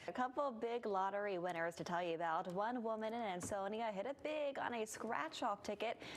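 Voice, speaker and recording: In an American accent, an ordinary speaking voice moves at a fairly quick pace with lively intonation, very even loudness and hardly any pauses. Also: woman, fairly high pitch for a woman. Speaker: television news anchor. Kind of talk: TV news anchor delivery.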